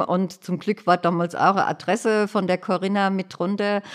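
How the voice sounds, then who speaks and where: A woman talks fairly slowly in a monotone, flat intonation, captured in a very clean recording with a silent background. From Hesse, Germany (Hanau). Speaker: accessibility activist, wheelchair user. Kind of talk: interview. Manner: cheerful, often laughing.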